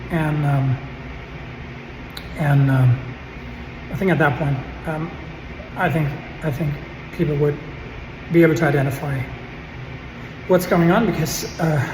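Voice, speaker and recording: Moderate pacing broken by long, frequent pauses, with noticeable background noise. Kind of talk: vlog campus tour. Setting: indoors in a campus building bathroom; in a car. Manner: halting with many fillers.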